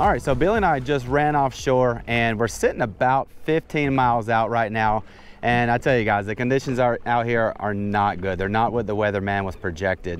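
Over light background noise, a man speaks at a moderate pace with hardly any pauses and ordinary pitch variation, in a dry sound with no echo. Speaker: fishing vlogger. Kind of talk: casual vlog chat. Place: boat. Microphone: lapel.

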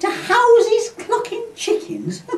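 Noticeable background noise sits under this woman's voice. She talks at a very slow pace. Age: 80s+. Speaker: poet. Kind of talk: comic poetry reading.

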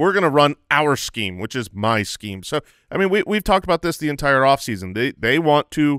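Over a quiet background with dry, echo-free sound, a man speaks at a fairly quick pace in an energetic tone, his fairly high pitch swinging very widely. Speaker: fantasy football podcast host. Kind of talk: casual chat. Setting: studio. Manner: energetic today. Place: studio. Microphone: studio mic.

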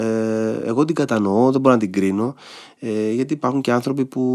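In a quiet setting, a man is talking. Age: 50s. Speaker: stage and screen actor; screen actor. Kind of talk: casual chat. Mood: reflective. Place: studio. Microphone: studio mic.

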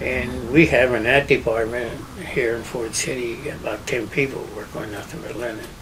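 A man with a western Pennsylvania accent talks at a moderate pace with fairly even intonation over noticeable background noise. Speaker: business owner; interviewee. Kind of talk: oral history interview. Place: home room.

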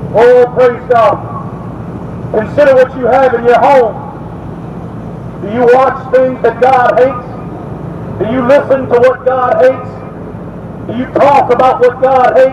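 A man speaks at an extremely high pitch and a very slow pace, with fairly even intonation. Noticeable background noise can be heard. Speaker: street preacher. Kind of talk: street sermon, preaching. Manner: forceful, confrontational. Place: street. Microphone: camera far.

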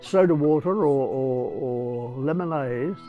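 Faint music plays in the background as a man speaks very slowly. His intonation is lively. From England. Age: 90s. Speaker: zoologist. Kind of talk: interview. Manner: halting. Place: home room. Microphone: lapel.

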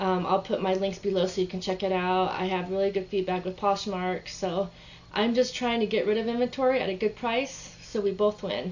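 At a fairly quick clip, a woman talks, her intonation fairly even. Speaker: online reseller. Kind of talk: casual sales pitch to camera, showing items. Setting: home video, working at computer. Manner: relaxed, chatty, low-key; halting, many ums and restarts. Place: home room. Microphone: webcam.

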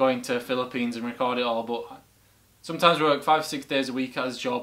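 A man's monotone, flat delivery at a very fast pace. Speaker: reaction video host. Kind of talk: casual vlog chat. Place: home room.

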